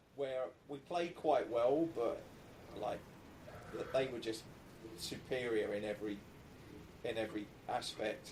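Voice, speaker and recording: A man with an English accent speaks at a fairly slow pace, with long, frequent pauses. Noticeable background noise runs under his voice. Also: medium pitch for a man, ordinary pitch variation. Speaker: football podcast host. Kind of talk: scripted intro; casual chat.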